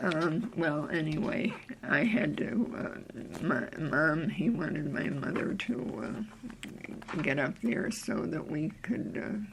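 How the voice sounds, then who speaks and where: Very deep and low in pitch, a woman speaks at a fairly slow pace with very wide pitch swings. Noticeable background noise and audible room echo fill the recording. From upstate New York (Cooperstown). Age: 80s+. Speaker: interviewee, local elder. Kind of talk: oral history interview. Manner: halting, with fillers.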